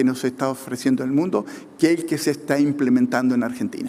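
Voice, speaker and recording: This man's voice sits at a fairly high pitch and carries lively intonation. Noticeable background noise runs underneath. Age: 60s. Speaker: government economist. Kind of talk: conference talk. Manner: halting, many fillers.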